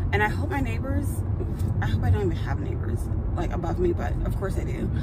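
The speech moves at a fairly quick pace with music in the background and a dry sound with no echo. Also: woman. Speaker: vlogger. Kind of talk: casual vlog chat. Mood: frustrated, anxious. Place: car. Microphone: phone near.

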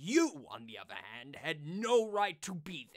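Slowly and deliberately, a man speaks in a smug, menacing tone. His pitch swings very widely. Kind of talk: fan voice-over redub of a game villain. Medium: solo performance. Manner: smug, gloating, menacing.

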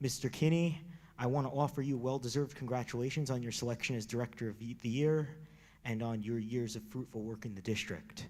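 Fairly quick speech in an American accent from a man at medium pitch, with ordinary pitch variation. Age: 20s. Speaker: public commenter. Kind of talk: public comment speech. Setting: public meeting room. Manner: reading a prepared speech.

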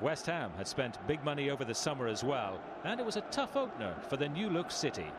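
A man with a fairly high pitch races along at a very fast pace with very wide pitch swings, over noticeable background noise. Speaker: documentary narrator. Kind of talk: scripted narration.

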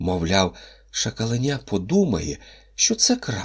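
The speaker reads in an unforced reading voice.

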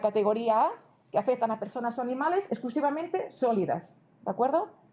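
A woman with a high voice talks fairly quickly, her intonation lively. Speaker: government transport official presenting regulations; presenter. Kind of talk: conference presentation. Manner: fast; halting, many self-corrections. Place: hall.

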